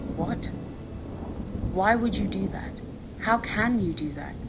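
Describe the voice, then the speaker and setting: A woman is talking. Background noise is noticeable throughout. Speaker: ASMR storyteller. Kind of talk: audiobook story reading. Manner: soft, relaxing.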